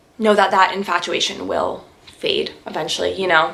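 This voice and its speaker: Noticeable background noise sits behind this recording. A woman with a Canadian accent speaks at a medium pitch. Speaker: lifestyle YouTuber. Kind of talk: casual Q&A vlog. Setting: sit-down video at home. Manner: fast.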